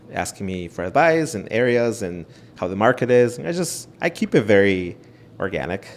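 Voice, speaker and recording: A man at a moderate pace with a Spanish accent. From Ecuador. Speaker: realtor. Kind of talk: interview.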